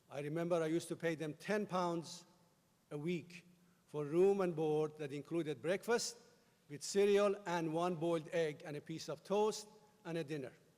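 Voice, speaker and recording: The speaker talks with a Persian accent and fairly even intonation. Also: man, high pitch for a man, moderate pace. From Iran. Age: 50s. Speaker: commencement speaker. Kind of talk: commencement speech. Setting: stage with audience.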